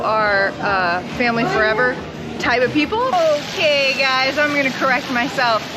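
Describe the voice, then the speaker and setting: Amid audible room echo and noticeable background noise, a woman talks. Her pace is moderate and her pitch variation ordinary. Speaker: travel vlogger. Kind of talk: travel vlog. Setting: outdoors at theme park.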